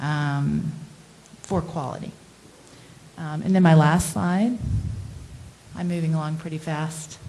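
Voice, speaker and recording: A woman's very deep, low voice at a fairly slow pace, with long, frequent pauses, fairly even intonation and audible room echo. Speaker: internal medicine doctor. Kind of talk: presentation with slides. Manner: hesitant, many fillers.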